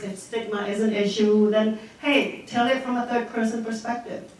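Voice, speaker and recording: A woman speaks at a moderate pace with a fairly high pitch for a woman. The room echo is audible, and background noise is noticeable. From Cambodia. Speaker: social work professor and documentary producer. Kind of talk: Q&A after a film screening. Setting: screening with live audience. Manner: hesitant, many fillers.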